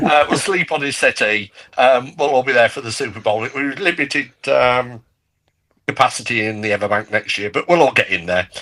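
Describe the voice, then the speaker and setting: With a British accent, a man talks at a fairly quick pace and medium pitch, his tone bright and sharp and his intonation lively. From UK. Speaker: podcast guest, fan club member. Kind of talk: casual chat.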